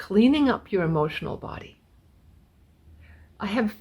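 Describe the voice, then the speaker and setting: At a moderate pace, a woman speaks in a fairly high pitch that is somewhat breathy. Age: 60s. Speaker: spiritual teacher. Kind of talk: spiritual talk.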